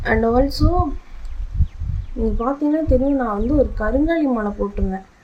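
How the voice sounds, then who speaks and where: This soft-spoken woman has a high pitch and ordinary pitch variation. Audible room echo surrounds her voice. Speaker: vlogger. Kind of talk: casual vlog monologue. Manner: halting.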